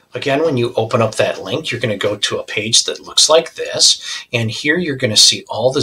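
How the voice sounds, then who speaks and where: A man speaks at a moderate pace. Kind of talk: tutorial. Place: home room.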